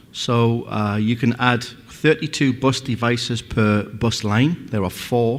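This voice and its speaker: With a Northeast English accent, a man speaks at a medium pitch with ordinary pitch variation. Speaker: company representative presenting a product. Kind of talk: conference presentation.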